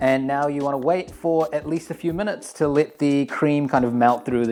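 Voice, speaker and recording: Over music in the background, a man speaks at a very fast pace in a medium pitch with ordinary pitch variation. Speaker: channel owner's brother, home baker. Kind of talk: cooking tutorial. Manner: casual, relaxed.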